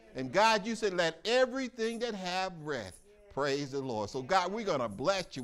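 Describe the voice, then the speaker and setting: Faint music sits in the background while a man talks at a moderate pace. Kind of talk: prayer. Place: church.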